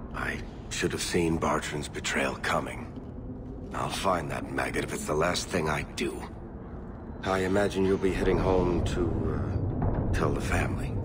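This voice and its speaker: A man's put-on character voice, pitched very deep and low, over loud background noise. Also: moderate pace. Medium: video game. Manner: wry, conversational.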